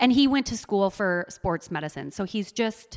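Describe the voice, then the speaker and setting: A woman speaks at a moderate pace with lively intonation, on a very clean recording with a silent background. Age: 30s. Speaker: mom and social media creator. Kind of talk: casual chat.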